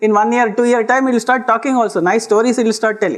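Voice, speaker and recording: A man speaks with a Kannada accent. His pitch is high. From Karnataka, India. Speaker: lecturer. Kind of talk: lecture.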